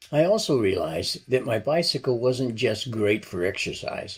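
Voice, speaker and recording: A man's somewhat breathy voice at a fairly slow pace, with lively intonation. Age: 70s. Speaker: retired cyclist vlogger. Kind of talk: scripted narration.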